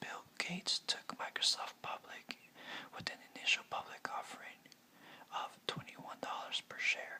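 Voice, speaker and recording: Whispered words at a moderate pace against noticeable background noise. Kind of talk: whispered ASMR biography narration.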